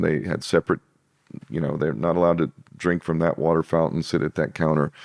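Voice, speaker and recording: Vocal fry marks a man's very deep, low voice as he talks at a fairly quick pace. The sound is dry and close with no echo, over a quiet background. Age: 50s. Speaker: interview guest, alternative-history commentator. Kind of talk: podcast interview conversation.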